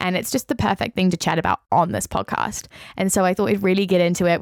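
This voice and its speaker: Recorded very cleanly against a silent background, with a dry, close sound and no echo, a woman of medium pitch talks in a New Zealand accent. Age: 20s. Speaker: podcast host. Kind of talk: casual solo podcast chat. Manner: animated.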